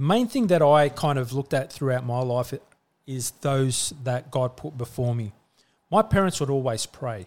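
With an Australian accent, a man speaks at a medium pitch. His pace is moderate and his pitch varies in an ordinary way. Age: 40s. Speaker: church leader and business owner. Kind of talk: casual chat.

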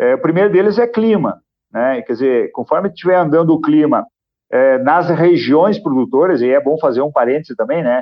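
A man's fairly high voice at a moderate pace, with lively intonation and an unremarkable speaking voice. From Rio Grande do Sul, Brazil. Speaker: grain broker and agribusiness consultant. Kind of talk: podcast interview.

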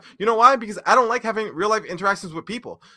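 A man speaks in a raised, projected voice with high pitch. His tone is animated, bright and sharp. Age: 30s. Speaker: gaming content creator. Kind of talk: drunken rant.

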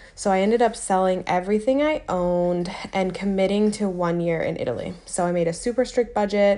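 A woman with an American accent uses an ordinary speaking voice at medium pitch with ordinary pitch variation. She talks at a fairly quick pace with hardly any pauses. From United States. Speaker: podcast host. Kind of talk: solo monologue answering listener question.

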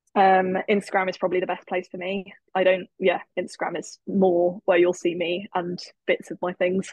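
A woman talks at a moderate pace in an English accent. Her medium-pitched voice is monotone, with flat intonation. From England. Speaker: network marketer, former maths teacher. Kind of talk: interview.

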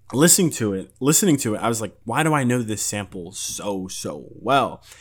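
Here a man talks in a plain, everyday voice at a medium pitch with lively intonation. The recording is very clean, with a silent background. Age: 20s. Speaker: music podcast host. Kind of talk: casual solo podcast monologue. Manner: casual, rambling with frequent repetitions and fillers.

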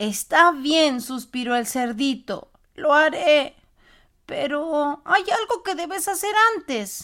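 In a put-on character voice, a woman speaks at a fairly slow pace with a high pitch. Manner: sighing, resigned.

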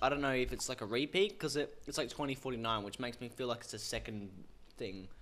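The voice carries a strong Australian accent. The pace is fairly quick. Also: man, medium pitch for a man, ordinary pitch variation. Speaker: podcast host. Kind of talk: casual chat. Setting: studio. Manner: animated.

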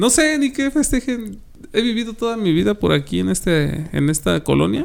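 The pace is moderate. A man is doing the talking. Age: 30s. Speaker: podcast host. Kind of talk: casual chat.

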